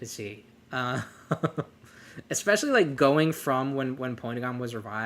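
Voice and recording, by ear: The clip features reading aloud in a natural voice. Its pitch variation is ordinary.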